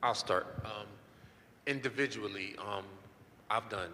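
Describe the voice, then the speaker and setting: A man's voice, fairly low for a man, moves at a fairly slow pace with ordinary pitch variation amid noticeable background noise. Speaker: crypto educator, panelist. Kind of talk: panel discussion. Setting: live-streamed panel with handheld mic. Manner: hesitant, many fillers. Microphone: holding mic far away.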